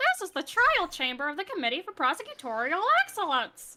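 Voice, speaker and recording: A woman puts on a character voice at an extremely high pitch. She speaks at a fairly quick pace with very wide pitch swings. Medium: fan dub. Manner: formal, deferential.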